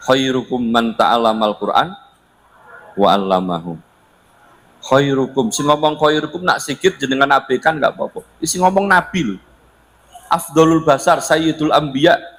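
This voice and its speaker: With lively intonation and long, frequent pauses, a man talks at a moderate pace and a fairly high pitch over noticeable background noise. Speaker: Islamic preacher. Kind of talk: religious lecture. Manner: loud; casual, code-switching.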